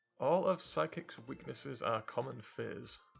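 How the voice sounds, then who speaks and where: A man speaks with music in the background. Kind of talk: casual reaction commentary to camera. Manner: flat, low-energy, drowsy.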